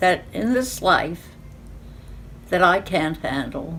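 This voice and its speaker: Very unhurried delivery from a woman, with the room's echo clearly audible. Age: 90s. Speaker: elderly woman sharing life lessons. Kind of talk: personal testimony. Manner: conversational with fillers.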